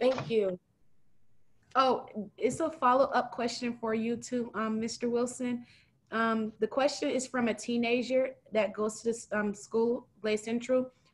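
Fairly high-pitched, a woman speaks at a fairly slow pace with fairly even intonation.

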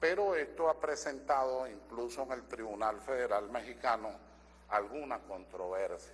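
Vocal fry marks this fairly slow delivery, with light background noise behind it. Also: man. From Venezuela. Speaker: constitutional lawyer and assembly member; constitutional lawyer. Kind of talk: parliamentary speech. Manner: formal. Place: hall. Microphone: podium.

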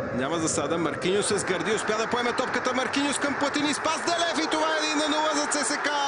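Raised and projected, a man's extremely high voice races along at a fairly quick pace with hardly any pauses, keeping very even loudness, an animated, excited tone and lively intonation against noticeable background noise. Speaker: football commentator. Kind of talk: live sports commentary on match highlights. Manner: animated, fast-paced, excited play-by-play delivery; fluent, informative, replaying and analysing incidents.

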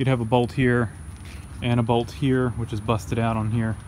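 Light background noise runs beneath a man's speech. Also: dry sound with no echo. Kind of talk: tutorial. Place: garden. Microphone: phone near.

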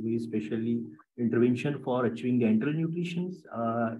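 A man's speech at a fairly quick pace. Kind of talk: lecture. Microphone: webcam.

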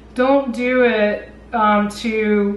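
Audible room echo surrounds the voice. A woman speaks with monotone, flat intonation. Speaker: vlogger. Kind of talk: casual vlog advice talk. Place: home room.

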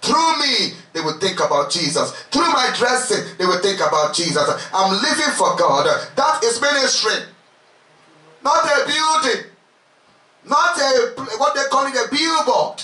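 A man speaks in an animated tone at a fairly slow pace, his loudness very even. Long, frequent pauses break up his speech, and audible room echo surrounds it. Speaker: preacher leading a retreat. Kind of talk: sermon, fervent preaching with prayer. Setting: retreat with congregation. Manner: animated, impassioned, exhorting the crowd with repeated calls. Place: home room.

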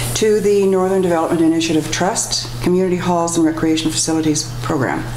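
At a fairly quick pace and with ordinary pitch variation, the speech has audible room echo and light background noise. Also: woman. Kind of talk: formal meeting procedure. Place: meeting room. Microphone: podium.

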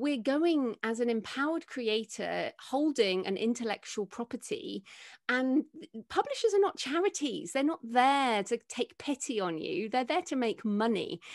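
At a moderate pace, a woman with an English accent speaks at a high pitch with very wide pitch swings over a quiet background. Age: 40s. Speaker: author and podcaster; podcaster. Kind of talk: interview. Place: home room. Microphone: studio mic.

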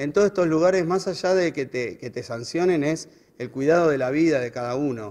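Speaking with a Buenos Aires accent, a man uses a fairly high pitch and a fairly quick pace. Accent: Rioplatense Spanish (Buenos Aires). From Buenos Aires, Argentina; Argentina. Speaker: road safety educator. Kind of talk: interview. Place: hall. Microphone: handheld.

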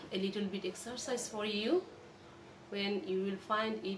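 A woman talks at a very slow pace with ordinary pitch variation. Light background noise sits behind her. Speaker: college lecturer. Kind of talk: lecture. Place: home room. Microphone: phone near.

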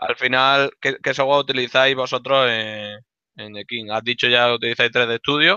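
Here a man has a normal speaking voice at a medium pitch and a moderate pace. His intonation stays fairly even, though his loudness swings a lot. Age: 30s. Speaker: school instructor hosting the talk. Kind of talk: casual introduction and Q&A. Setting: video call.

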